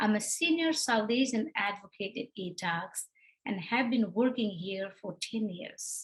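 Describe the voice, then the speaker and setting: A woman with a fairly high pitch speaks at a fairly slow pace. Her intonation is lively and her voice somewhat breathy. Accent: Nepali. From Nepal. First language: Nepali. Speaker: domestic violence advocate. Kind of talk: prepared remarks.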